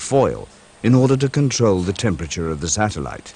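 A man talks at a moderate pace in an unremarkable speaking voice. His pitch is fairly low and his intonation lively. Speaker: documentary narrator. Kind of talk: vintage documentary narration, scripted technical voiceover. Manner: formal, even and measured; matter-of-fact, brisk and informative, like a corporate film.

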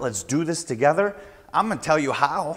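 There is a man speaking over a quiet background. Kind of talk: tutorial. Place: garage. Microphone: lapel.

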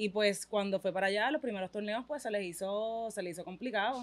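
The pace is fairly quick and the pitch variation ordinary. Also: woman. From Puerto Rico. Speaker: mother of a young athlete; interviewee. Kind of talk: casual interview. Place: studio. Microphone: studio mic.

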